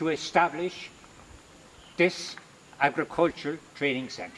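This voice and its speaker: With an Irish accent, a man talks fairly slowly at a fairly high pitch against noticeable background noise. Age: 70s. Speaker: religious brother and retired agriculture teacher. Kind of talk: video address.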